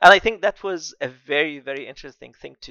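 Against a quiet background, a man speaks at a moderate pace with an Arabic accent. The sound is dry with no echo, and his pitch variation is ordinary. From Egypt, Alexandria. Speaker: architect and AI artist. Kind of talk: casual interview. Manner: hesitant, filler-heavy. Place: home room. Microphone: headset.

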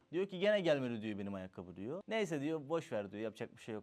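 Very wide pitch swings mark this voice, recorded very cleanly against a silent background. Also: man. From Turkey. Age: 30s. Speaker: social media content creator. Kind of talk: casual interview.

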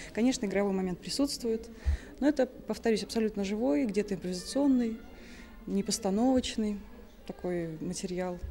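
Over light background noise, a woman speaks at a moderate pace with ordinary pitch variation and long, frequent pauses. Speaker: exhibition organizer or teacher. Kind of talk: interview answer. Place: hall.

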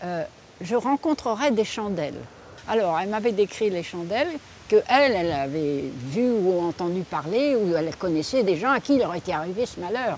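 A woman speaks at a moderate pace with very wide pitch swings. The sound is dry with no echo, with light background noise. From France, Deux-Sèvres; France. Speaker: local resident; local resident storyteller. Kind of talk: oral storytelling. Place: garden. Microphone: lapel.

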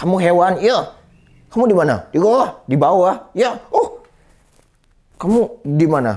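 A man talks, his pitch swinging very widely. Little else is heard, with the background quiet. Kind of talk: comic performance, self-introduction and ventriloquist dialogue. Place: studio. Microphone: lapel.

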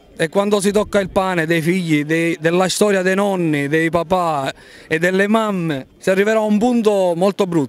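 A man's voice is high in pitch. It moves at a moderate pace with ordinary pitch variation. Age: 30s. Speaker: farmer. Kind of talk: street interview.

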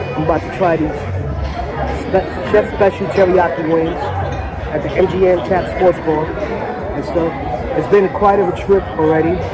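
A man at a moderate pace with long, frequent pauses, in a dry sound with no echo, over loud background music. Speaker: travel vlogger. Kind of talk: casual vlog chat. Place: bar. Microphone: phone near.

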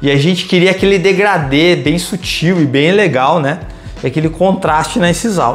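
Over faint background music, a man speaks in a high pitch at a moderate pace. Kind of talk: tutorial. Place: office. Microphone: camera far.

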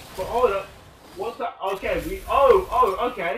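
In a British accent, a man speaks at a fairly slow pace with lively intonation. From Britain. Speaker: gaming YouTuber. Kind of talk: let's play commentary. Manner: animated.

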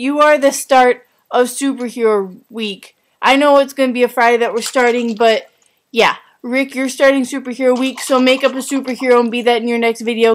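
A woman talks at a fairly quick pace, her fairly high pitch held to fairly even intonation.

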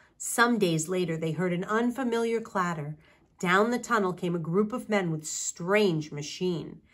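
The clip is simply plain reading aloud.

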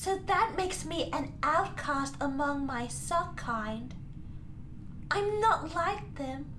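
Loud background noise fills this clip of a man doing a cartoonish character voice. His pitch is extremely high and his pace very slow. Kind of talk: comic overacting. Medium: puppet show. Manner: grandiose, melodramatic, earnest.

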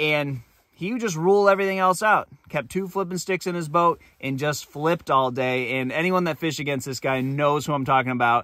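Bright, sharp tone from a man at a moderate pace, ordinary pitch variation, dry sound with no echo. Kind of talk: casual vlog chat, storytelling. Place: home room. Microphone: phone near.

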